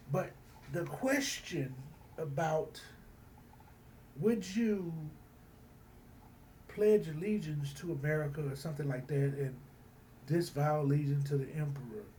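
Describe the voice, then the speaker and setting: Pausing long and often, a man speaks at a fairly slow pace with ordinary pitch variation and audible room echo. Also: fairly high pitch for a man. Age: 60s. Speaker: student. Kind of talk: recorded class assignment response. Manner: halting, many fillers and repetitions.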